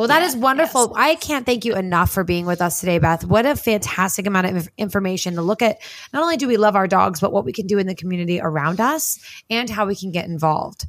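In an American accent, a woman talks at a very fast pace with a medium pitch and lively intonation. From New Jersey. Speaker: podcast host. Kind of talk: casual chat.

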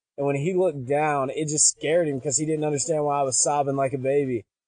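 This man speaks with an Arkansas accent. His voice sits fairly high. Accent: Southern US (Arkansas). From US South, Pine Bluff, Arkansas. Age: 20s. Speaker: youth pastor. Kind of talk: testimony.

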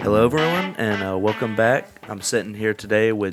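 A man speaks at a moderate pace and medium pitch. His is an ordinary speaking voice. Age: 40s. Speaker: podcast host. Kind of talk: casual chat.

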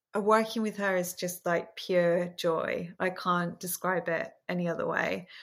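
In a southern English accent, a woman speaks at a fairly slow pace and a medium pitch. Her intonation is monotone and flat, and the recording is very clean with a silent background. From southern England, small town outside London. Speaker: fashion stylist. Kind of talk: casual chat. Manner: warm, unassuming.

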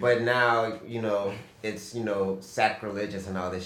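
A man talks at a moderate pace as noticeable background noise fills the recording. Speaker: podcast co-host. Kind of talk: casual chat.

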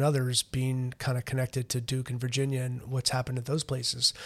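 This man talks at a very fast pace in a medium pitch. His voice is somewhat breathy. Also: dry, close sound with no echo. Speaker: college lacrosse head coach. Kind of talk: casual interview. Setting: studio. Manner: halting, many fillers and repetitions.

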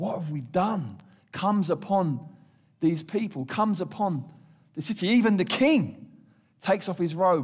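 A man with an English accent speaks at a high pitch and a fairly slow pace. His intonation is lively. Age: 50s. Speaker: pastor. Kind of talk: sermon.

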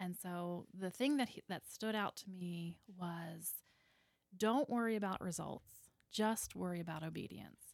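A woman with a plain, everyday voice speaks fairly slowly at a fairly low pitch, with ordinary pitch variation. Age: 40s. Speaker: foster mother and card-making teacher. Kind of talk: testimony.

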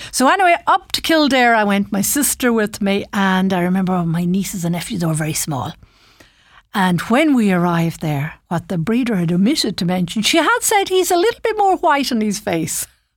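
A woman in a western Irish accent talks at a fairly quick pace with a medium pitch and very wide pitch swings. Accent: Irish (west of Ireland). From Ireland, Ballinasloe, County Galway. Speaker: radio presenter. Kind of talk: personal storytelling. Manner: casual, conversational.

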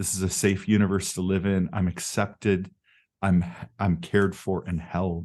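Over a quiet background, a man speaks with an American accent at a moderate pace. His pitch is very deep and low, and his intonation is monotone and flat. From United States, various places (military family). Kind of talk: interview conversation. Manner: halting, many fillers.

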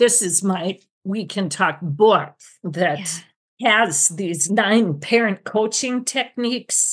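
Against a quiet background, a somewhat breathy woman with a medium pitch speaks at a very slow pace with ordinary pitch variation. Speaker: retired speech-language pathologist. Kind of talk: interview.

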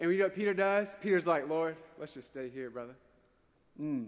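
A man with a Southern US accent speaks at a fairly high pitch, his lively intonation broken by long, frequent pauses and big swings in loudness. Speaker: priest giving homily. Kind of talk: homily. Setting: church. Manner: emphatic, repetitive.

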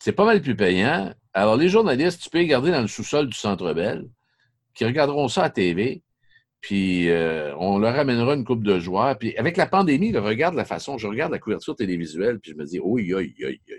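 Against a quiet background, a man with a medium pitch talks at a fairly quick pace, his pitch swinging very widely. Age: 50s. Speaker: sports journalist. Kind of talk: podcast interview.

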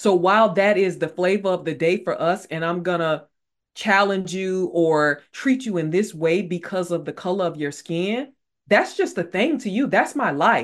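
Ordinary pitch variation and a moderate pace in a normal speaking voice, captured on a very clean recording against a silent background. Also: woman, medium pitch for a woman. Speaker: leadership and mental wellness expert and author. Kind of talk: interview conversation.

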